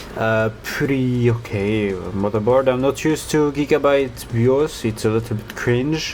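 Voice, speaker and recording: With hardly any pauses, a man talks at a fairly slow pace and ordinary pitch variation over noticeable background noise. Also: medium pitch for a man. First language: not English. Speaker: hobbyist overclocker, channel owner. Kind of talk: casual tech vlog. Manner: halting, many fillers.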